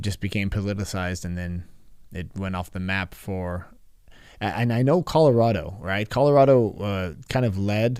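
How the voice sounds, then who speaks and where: The recording is very clean, with a silent background. A man speaks in a fairly low voice with ordinary pitch variation. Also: moderate pace. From California. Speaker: podcast host. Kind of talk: casual interview conversation. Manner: halting, many fillers and restarts.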